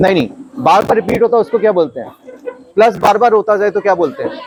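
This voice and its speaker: With ordinary pitch variation, a man talks in a high register. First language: not Hindi (speaking Hindi). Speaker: maths teacher. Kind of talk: classroom lesson. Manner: repetitive questioning, engaging.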